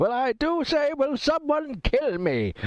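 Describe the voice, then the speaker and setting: Fairly slow delivery marks this clip. It's done in a put-on character voice. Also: man, extremely high pitch for a man. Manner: weary, agonized.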